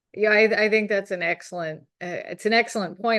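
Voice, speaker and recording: A woman talks at a moderate pace in a Southern US accent. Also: quiet background. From US South, North Carolina. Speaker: gallery owner on art career panel. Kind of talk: panel discussion. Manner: hesitant, many fillers.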